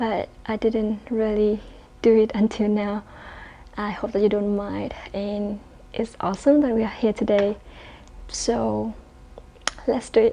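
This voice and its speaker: A woman with a fairly high voice speaks at a fairly slow pace in a flat monotone, with long, frequent pauses. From Vietnam. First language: Vietnamese. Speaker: Pilates teacher and YouTuber. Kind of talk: casual Q&A vlog. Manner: chatty, slightly halting.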